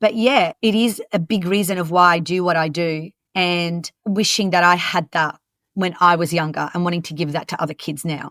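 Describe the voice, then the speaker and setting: With an Australian accent, a woman speaks at a moderate pace and a fairly low pitch with fairly even intonation, in a very clean recording with a silent background and a dry, close sound with no echo. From Lebanon, moved to Australia at 10. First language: French and Arabic. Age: 40s. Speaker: youth mentor and coach trainer. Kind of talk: podcast interview.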